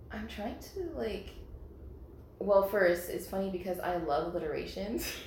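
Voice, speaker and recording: Medium in pitch with ordinary pitch variation, a woman speaks at a moderate pace with long, frequent pauses. Noticeable background noise and audible room echo are present. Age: 30s. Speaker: podcast guest. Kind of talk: casual chat. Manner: animated.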